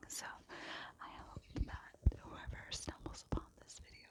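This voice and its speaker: Whispered speech comes through noticeable background noise. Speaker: ASMR creator. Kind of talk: ASMR whisper ramble. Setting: outdoors.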